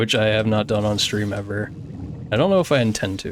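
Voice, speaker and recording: The man talking has a fairly low pitch. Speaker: video game streamer. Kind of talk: casual live-stream chat while speedrunning. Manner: monotone.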